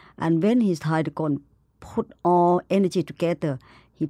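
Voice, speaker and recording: A woman with a Thai accent speaks at a fairly low pitch in a dark, mellow tone. The recording is very clean with a silent background and a dry, close sound with no echo. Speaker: animal conservationist. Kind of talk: interview. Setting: studio in New York.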